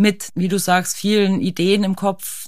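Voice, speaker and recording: A woman speaks in a normal speaking voice at a medium pitch and a fairly slow pace. The recording is very clean, with a silent background. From Austria. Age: 40s. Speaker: ice climbing champion and alpinist. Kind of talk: casual interview. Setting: studio.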